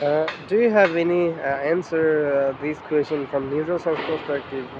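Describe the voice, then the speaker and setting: A man with a non-native accent at a moderate pace, fairly even intonation, and noticeable background noise. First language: not English. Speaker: English learner, channel owner. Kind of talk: casual chat. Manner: halting.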